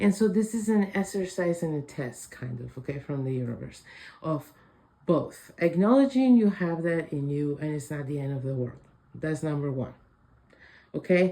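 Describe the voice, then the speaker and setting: A woman speaks with a very deep, low pitch. Her intonation is lively, and her pace is moderate. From Spain, Madrid. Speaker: psychic oracle. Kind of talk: intuitive reading monologue.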